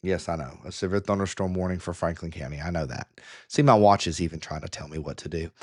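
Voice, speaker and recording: A man speaks loudly at a very fast pace. His voice is very deep and low. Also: ordinary pitch variation, quiet background. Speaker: storm tracker livestreamer. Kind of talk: live weather commentary. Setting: livestream. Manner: hesitant, many fillers.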